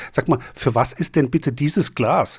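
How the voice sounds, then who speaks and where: A fairly high male voice comes through on a very clean recording with a silent background. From Germany, Frankfurt am Main. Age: 50s. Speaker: beer video blogger and beer sommelier. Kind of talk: casual chat.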